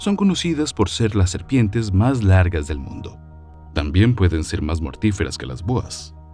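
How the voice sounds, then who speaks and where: A man's very deep, low voice, fairly slow and lively in intonation, with big swings in loudness and music in the background. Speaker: voice-over narrator. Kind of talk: documentary narration.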